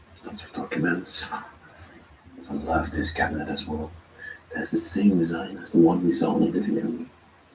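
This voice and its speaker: Amid noticeable background noise and audible room echo, a man speaks at a fairly quick pace with long, frequent pauses and big swings in loudness. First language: not English. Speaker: urban explorer vlogger. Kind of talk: live tour narration.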